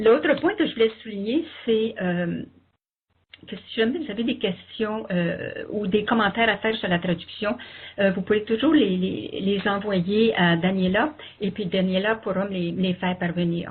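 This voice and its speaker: A woman with a Quebec accent at a fairly slow pace. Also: medium pitch for a woman, ordinary pitch variation. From Quebec, Canada. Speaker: interpreter and co-host. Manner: hesitant, many fillers.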